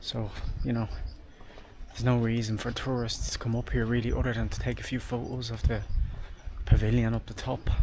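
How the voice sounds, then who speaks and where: This man talks at a moderate pace with an Irish accent. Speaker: travel vlogger. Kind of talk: casual vlog narration. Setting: outdoors walking on a street at night.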